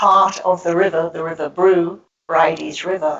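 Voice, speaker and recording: In a monotone, flat intonation, a woman talks at a fairly slow pace with a fairly low pitch. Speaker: public speaker on goddess spirituality. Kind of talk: talk with slides to an audience.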